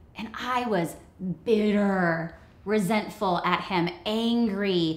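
There is audible room echo as a woman speaks with ordinary pitch variation. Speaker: co-host of a marriage webcast. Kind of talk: personal story told to camera. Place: home room.

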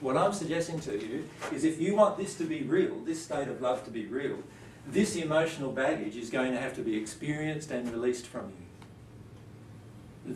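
At a moderate pace, a man speaks amid audible room echo and light background noise. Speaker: presenter. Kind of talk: lecture. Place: classroom. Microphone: camera far.

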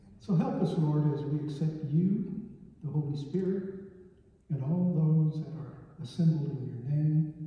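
Strong room echo carries a man's fairly slow speech, which has fairly even intonation and long, frequent pauses. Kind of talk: prayer. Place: church. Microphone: camera far.

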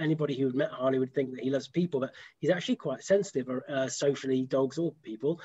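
In a British accent, a man with a dark, mellow tone talks at a very fast pace over a quiet background. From UK. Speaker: dog behavior practitioner; host. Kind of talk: casual chat. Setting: video call. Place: home room. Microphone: video call.

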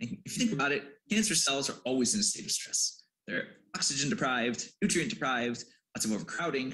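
A man with an American accent talks at a very fast pace, his pitch swinging very widely, with vocal fry. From US Midwest, Detroit; Michigan. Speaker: PhD student. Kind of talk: scientific presentation. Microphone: video call.

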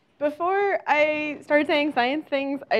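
She talks at a moderate pace. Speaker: invited lecturer. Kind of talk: lecture. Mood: friendly, upbeat. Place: hall. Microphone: lapel.

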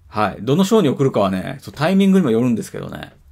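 A man with a medium-pitched voice talks at a very fast pace with very wide pitch swings. The background is quiet. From Japan. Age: 40s. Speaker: video blogger. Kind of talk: casual monologue. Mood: reflective, musing. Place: home room. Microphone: webcam.

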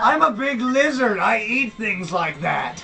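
A put-on character voice, fairly high in pitch and fairly slow, over clear background noise. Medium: actual play. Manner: gruff, irritable, crude.

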